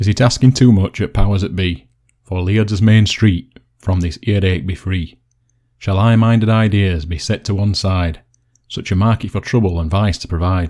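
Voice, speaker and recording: Speaking with a Yorkshire accent, a man has a fairly low pitch and a dark, mellow tone. His intonation is fairly even, and the recording is very clean with a silent background. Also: moderate pace. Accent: broad Yorkshire. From Yorkshire, West Riding. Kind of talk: dialect poetry reading.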